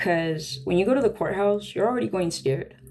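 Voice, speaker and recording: Over noticeable background noise, a woman with a fairly low pitch talks very fast with lively intonation. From Sonora, Mexico. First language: Spanish. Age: 30s. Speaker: livestreamer. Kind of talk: casual livestream chat. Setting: home music room, live stream.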